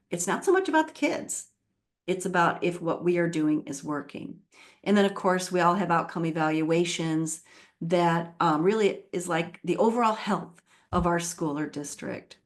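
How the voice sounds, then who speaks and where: A woman has an ordinary speaking voice, fairly low in pitch. She talks at a moderate pace with ordinary pitch variation. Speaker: literacy education leader and author. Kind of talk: webinar presentation.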